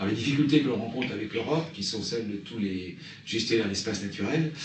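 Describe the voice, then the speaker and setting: Over noticeable background noise and audible room echo, a man speaks fairly quickly at a fairly low pitch. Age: 60s. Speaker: nature reserve director. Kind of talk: interview. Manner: halting.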